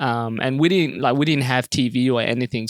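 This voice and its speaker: With an Australian accent, a man talks at a moderate pace in a medium pitch with ordinary pitch variation. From Sudan (Khartoum), then Perth, Australia from about age ten. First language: Arabic. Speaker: comedian. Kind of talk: casual interview. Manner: many fillers (um, uh, you know).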